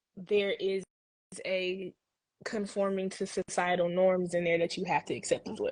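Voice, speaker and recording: Speaking in an American accent, a woman keeps a medium pitch and monotone, flat intonation. She goes at a fairly slow pace with long, frequent pauses against a quiet background. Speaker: marketing professional, panel guest. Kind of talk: casual debate talk show.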